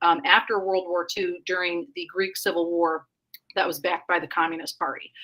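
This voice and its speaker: Bright and sharp in tone, this voice carries a Northern Indiana accent and moves at a moderate pace. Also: woman. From Northern Indiana (Elkhart, South Bend area). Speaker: liberty movement activist and organization leader. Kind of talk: podcast interview. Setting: live-streamed podcast.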